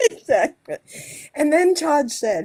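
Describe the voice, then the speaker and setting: A woman's voice with very wide pitch swings. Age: 70s. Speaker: co-host of a talk show. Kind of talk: casual chat. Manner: animated.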